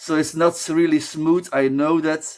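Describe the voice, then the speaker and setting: At a fairly slow pace, a man with a non-native accent speaks in a fairly high pitch. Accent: non-native English, noticeable. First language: Dutch. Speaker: beer reviewer, video creator. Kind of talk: casual vlog talk to camera. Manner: halting, self-correcting.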